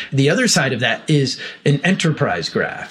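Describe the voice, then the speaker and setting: With an American accent and lively intonation, a man talks at a moderate pace against noticeable background noise. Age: 50s. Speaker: technology executive. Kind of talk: interview. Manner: halting, many fillers.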